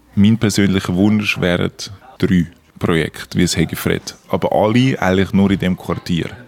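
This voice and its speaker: A man talks at a fairly slow pace in a fairly low voice. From Switzerland, Zurich. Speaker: cafe owner. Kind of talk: interview. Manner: halting.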